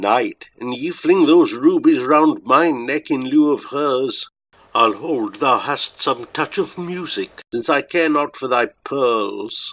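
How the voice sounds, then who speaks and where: On a very clean recording with a silent background, the speaker puts on a shrill character voice at a fairly slow pace. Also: man, fairly high pitch for a man. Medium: read story. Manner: capering and mocking.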